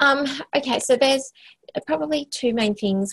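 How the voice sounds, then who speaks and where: At a moderate pace, the woman talks with an Australian accent. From Western Australia, small country town. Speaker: health organisation CEO, former occupational therapist. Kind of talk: interview. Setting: office, remote call.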